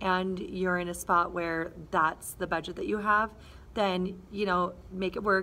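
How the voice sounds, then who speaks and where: A woman speaks in a monotone with flat intonation. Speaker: vlogger. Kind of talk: casual vlog chat. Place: classroom. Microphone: phone near.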